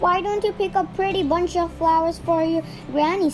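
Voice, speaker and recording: A woman does a put-on character voice at a moderate pace. Loud background noise runs behind her. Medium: read story. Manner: sly, smooth.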